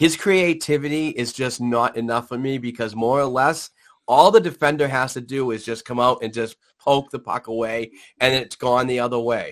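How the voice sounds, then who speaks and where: The speaker has a New England accent and talks at a moderate pace. The background is quiet. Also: man, medium pitch for a man, ordinary pitch variation. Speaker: hockey podcast host. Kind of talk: casual sports talk. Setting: live stream.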